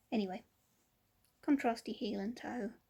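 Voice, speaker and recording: Somewhat breathy, a woman with a fairly high pitch speaks at a fairly slow pace with ordinary pitch variation. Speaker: vlogger. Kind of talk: casual vlog chat. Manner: hesitant, many ums.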